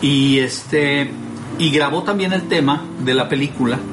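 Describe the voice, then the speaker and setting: A man with a rather high voice and normal pitch movement is heard in a room with clear echo and noticeable noise in the background. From Mexico. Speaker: voice professional hosting a home-recorded show. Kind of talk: casual chat. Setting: recording from home.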